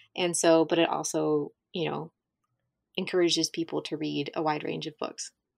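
A woman with a southern Ohio accent speaks at a moderate pace, her voice dry and close with no echo. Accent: Midland American (southern Ohio). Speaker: podcast host. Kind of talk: casual interview.

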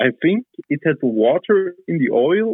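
At a very slow pace, a man's voice makes very wide pitch swings. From South Tyrol, Italy. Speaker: farmer and moped mechanic. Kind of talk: casual chat. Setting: phone call.

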